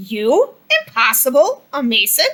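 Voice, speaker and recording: Using a put-on character voice, a woman pitches her speech high. The delivery is fairly slow. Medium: read story. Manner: boastful, dismissive.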